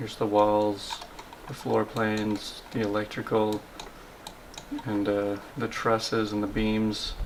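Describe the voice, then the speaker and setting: Noticeable background noise sits behind the voice. The pace is very slow, with long, frequent pauses. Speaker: vlogger and engineering drafting assistant. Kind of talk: vlog narration and interview. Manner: quiet, trying not to wake sleepers.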